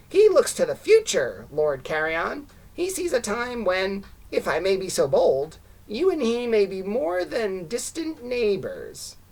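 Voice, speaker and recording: A female-sounding put-on character voice, pitched fairly high, moves at a fairly slow pace. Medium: read story. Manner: ingratiating, annoying.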